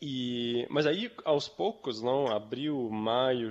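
A man is speaking against a quiet background. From Switzerland, Zurich. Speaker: company founder. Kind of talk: interview. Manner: halting.

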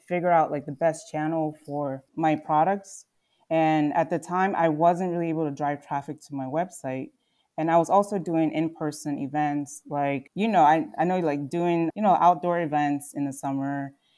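Very clean and set against a silent background, this recording carries a dark, mellow tone in a Mid-Atlantic accent, with fairly even intonation at a moderate pace. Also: woman, very deep, low pitch for a woman. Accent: American, Mid-Atlantic. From Philadelphia suburbs, Pennsylvania (born in Nigeria, moved at six). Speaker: fashion brand founder. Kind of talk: interview.

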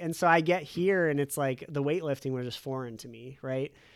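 At a moderate pace, a man talks in an unremarkable speaking voice with ordinary pitch variation. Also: very clean recording, silent background. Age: 30s. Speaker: financial planner. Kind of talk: casual chat.

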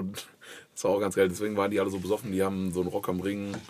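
A man talks at a very fast pace. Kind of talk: casual chat.

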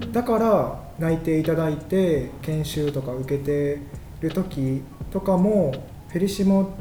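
Talking at a fairly slow pace, a man with a fairly high pitch and ordinary pitch variation is heard over noticeable background noise and audible room echo. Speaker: catalog editor. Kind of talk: casual chat. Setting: company office studio. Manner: making an effort to project.

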